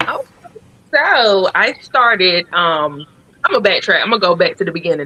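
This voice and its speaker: A woman talks with a Southern US accent. Her voice sits at a medium pitch. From US South, Columbia, South Carolina. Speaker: author. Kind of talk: interview on live-stream show.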